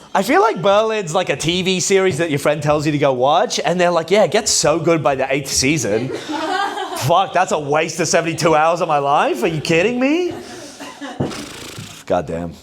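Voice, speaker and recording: In an Australian accent, a man speaks at a high pitch and moderate pace with an animated tone and lively intonation, amid audible room echo and noticeable background noise. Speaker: stand-up comedian. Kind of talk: stand-up. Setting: stage with audience.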